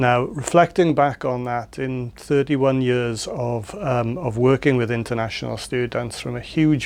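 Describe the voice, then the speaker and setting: Against noticeable background noise, a man with a South Wales accent speaks at a moderate pace and medium pitch, with fairly even intonation and hardly any pauses. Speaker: lecturer in education. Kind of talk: interview answer.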